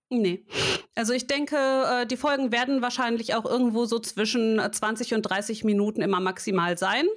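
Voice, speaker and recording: A woman speaks at a moderate pace in a fairly high voice, her pitch rising and falling in an ordinary way while her volume stays very even. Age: 30s. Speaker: podcast co-host, logo and brand designer. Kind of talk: casual chat. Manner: animated, laughs often.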